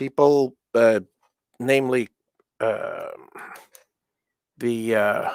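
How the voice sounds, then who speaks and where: Captured dry and close with no echo, a man speaks at a medium pitch. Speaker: electronics maker and livestreamer. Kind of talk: casual livestream chat while working. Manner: halting, many fillers and self-corrections.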